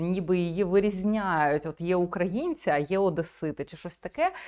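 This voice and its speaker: A woman with an unremarkable speaking voice speaks at medium pitch and a moderate pace against a quiet background. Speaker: video blogger. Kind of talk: commentary.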